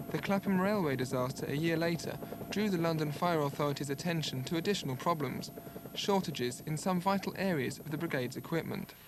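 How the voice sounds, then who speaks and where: Over noticeable background noise, a man with a fairly high pitch talks very fast, his pitch varying in an ordinary way. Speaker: TV news reporter. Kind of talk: TV news report narration.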